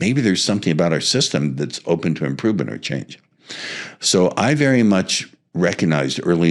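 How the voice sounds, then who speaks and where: The man's pitch is very deep and low, with vocal fry. He keeps a moderate pace and lively intonation. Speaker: seduction and hypnosis coach. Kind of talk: interview. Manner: purposeful, no verbal pauses.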